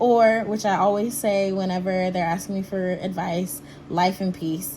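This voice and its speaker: There is noticeable background noise and audible echo from the room. A woman talks fairly slowly through it. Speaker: teacher. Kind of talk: casual video reflection. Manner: animated.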